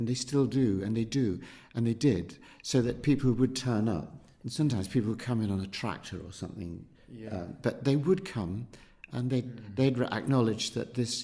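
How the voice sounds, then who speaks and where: A man speaks at a medium pitch and a moderate pace, with ordinary pitch variation and big swings in loudness. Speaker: local resident recalling ambulance service and market town. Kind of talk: oral history interview answer. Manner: conversational, thoughtful, hesitant.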